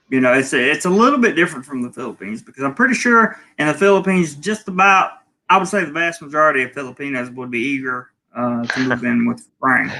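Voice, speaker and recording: This man's voice sits fairly high, with a bright, sharp tone and lively intonation. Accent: Southern US. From US South, North Carolina (Charlotte area). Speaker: travel vlogger. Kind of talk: casual chat.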